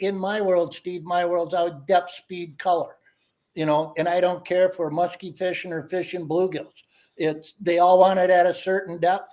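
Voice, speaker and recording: A man speaks at a moderate pace with a high pitch and a dark, mellow tone. His intonation is monotone and flat. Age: 60s. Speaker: ice fishing angler. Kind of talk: casual chat.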